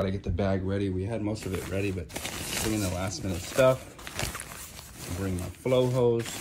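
A man talks at a moderate pace with a fairly low pitch. His pitch variation is ordinary, and there is noticeable background noise. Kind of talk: casual vlog chat. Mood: emotional, relieved, a bit shaken.

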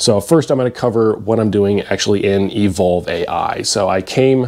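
A man's fairly low voice with ordinary pitch variation. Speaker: fitness vlogger. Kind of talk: casual vlog chat. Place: home room. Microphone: lapel.

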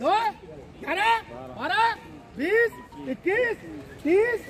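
Light background noise sits behind a man speaking at a fairly slow pace. His pitch swings very widely. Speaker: cotton auctioneer at a market yard. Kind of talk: rapid auction calling. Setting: noisy outdoor market yard with bidders. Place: market. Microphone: camera far.

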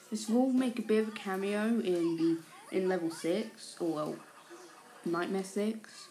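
Soft-spoken and at a fairly slow pace, a woman talks in a medium pitch with ordinary pitch variation. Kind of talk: casual talk to camera. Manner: quiet, soft-spoken.

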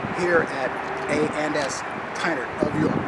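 Loud background noise runs under a man's speech. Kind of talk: interview host talk. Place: street.

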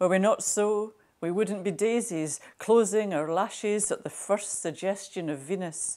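Over a quiet background, a woman with a dark, mellow tone talks at a fairly slow pace with ordinary pitch variation. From Scotland. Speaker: national poet, poetry reader. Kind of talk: reading her own poem. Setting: Burns Night special recording.

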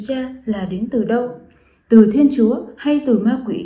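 Audible room echo surrounds a woman's high-pitched voice over a quiet background. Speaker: presenter. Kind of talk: scripted testimony address. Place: home room. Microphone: phone near.

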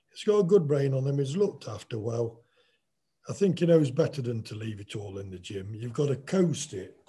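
A man with an East Midlands accent speaks at a moderate pace in a fairly high, somewhat breathy voice with a dark, mellow tone, very wide pitch swings and big swings in loudness. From England. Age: 60s. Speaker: boxer. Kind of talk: casual chat. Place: home room. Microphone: video call.

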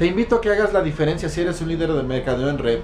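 Faint background music under a man's high-pitched voice at a fairly quick pace. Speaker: network marketing distributor and motivational speaker. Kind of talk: motivational monologue. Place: home room. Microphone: phone near.

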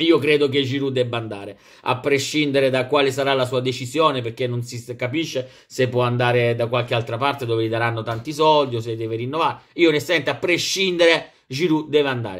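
Here a man speaks at a medium pitch and a fairly quick pace. His pitch varies in an ordinary way. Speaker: football vlogger and Milan fan. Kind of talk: angry rant. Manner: animated, emotional, passionate. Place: home room.

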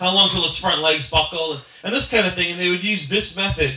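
The man's voice sits at a high pitch. Room echo is audible. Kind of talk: speech with anecdotes. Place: cafe.

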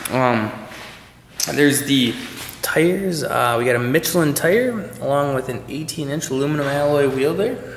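A man speaks with ordinary pitch variation, with audible room echo and light background noise. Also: moderate pace. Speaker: car salesperson. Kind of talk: product walkaround commentary. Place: garage. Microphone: phone near.

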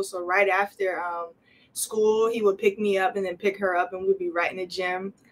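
A woman talks with a New Jersey accent. She keeps a moderate pace in a flat monotone. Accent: New Jersey American. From New Jersey, Camden. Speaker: college basketball player. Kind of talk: interview. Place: office. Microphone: camera far.

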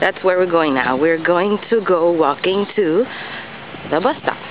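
Over noticeable background noise, a woman with an American accent speaks fairly slowly at a fairly low pitch, the sound dry with no echo. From New York City. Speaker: vlogger. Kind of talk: casual vlog. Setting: outdoors. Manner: halting. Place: street. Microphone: phone near.

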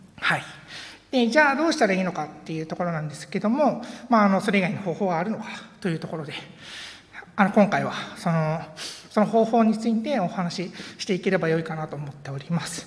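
A woman at a medium pitch speaks at a very fast pace with lively intonation and long, frequent pauses. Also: big swings in loudness. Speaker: conference speaker, software engineer; conference speaker. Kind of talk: conference talk. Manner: halting with many fillers. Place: hall.

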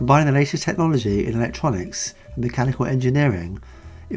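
Music plays in the background as a man speaks with lively intonation. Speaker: channel host narrating. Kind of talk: documentary narration.

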